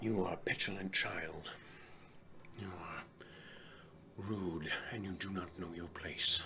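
Over clear background noise, a man does a put-on character voice, raspy and menacing, with a very deep, low pitch and a fairly slow pace. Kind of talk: fantasy villain drama. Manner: menacing, contemptuous, cold.

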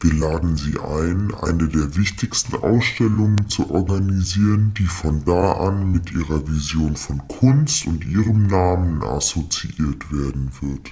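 Against light background noise, a man speaks in a very deep, low voice. He moves at a fairly slow pace with hardly any pauses. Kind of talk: formal official German speech. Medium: comedy sketch. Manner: polite, businesslike, matter-of-fact about no payment.

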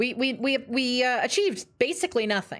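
A woman is speaking. Her voice has vocal fry. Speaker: video game streamer. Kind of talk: live gameplay stream chat. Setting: home living room, echoey. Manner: loud.

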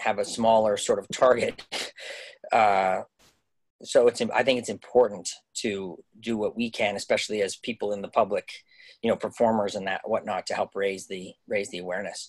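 A man speaks with long, frequent pauses against a quiet background. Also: moderate pace. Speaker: guest. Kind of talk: interview answer. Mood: earnest, thoughtful. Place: home room. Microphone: video call.

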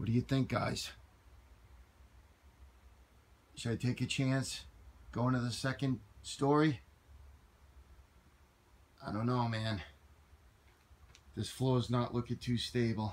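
A man at a very slow pace, somewhat breathy, with fairly even intonation and long, frequent pauses. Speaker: explorer vlogger. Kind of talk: casual vlog chat. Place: forest. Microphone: phone near.

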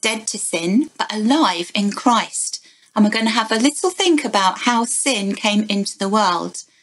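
Someone reads a passage aloud. The voice sounds natural.

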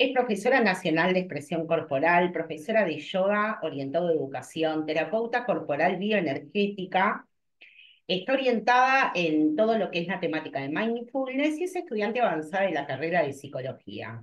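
Her pitch fairly low, a woman speaks at a moderate pace with very wide pitch swings. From Argentina. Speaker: senior center supervisor. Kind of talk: online workshop moderation. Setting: video call. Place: office. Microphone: video call.

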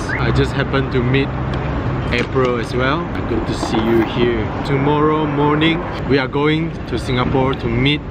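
A man at a moderate pace with long, frequent pauses, loud background noise and a dry sound with no echo. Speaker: vlogger. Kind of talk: casual vlog chat. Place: street. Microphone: phone near.

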